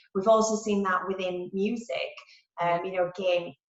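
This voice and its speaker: A woman talks in a Yorkshire accent at a medium pitch. Her pace is moderate and her intonation monotone and flat. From Yorkshire, England. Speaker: marketing executive. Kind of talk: interview answer.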